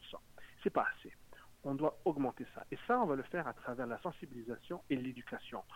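A man with a fairly high pitch talks at a fairly quick pace, broken by long, frequent pauses. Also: ordinary pitch variation, big swings in loudness. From Montreal. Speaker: municipal politician. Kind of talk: political interview.

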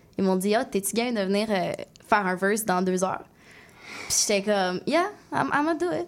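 A woman with a Quebec accent speaks at a medium pitch and a fairly quick pace, using lively intonation. Long, frequent pauses break up her speech. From Quebec City, Limoilou. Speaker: singer and rapper. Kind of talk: radio interview.

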